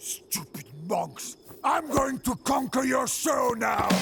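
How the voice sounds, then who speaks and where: A man shouts and growls in a put-on character voice at an extremely high pitch. His pace is fairly slow. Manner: shouting, indignant.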